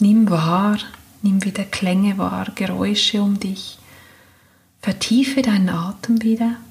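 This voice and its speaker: A woman speaks in a calm, soothing tone at a very slow pace, with long, frequent pauses. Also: medium pitch for a woman, fairly even intonation. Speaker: meditation guide. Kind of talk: guided meditation. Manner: slow, calm, soothing, gentle; long pauses between soft instructions.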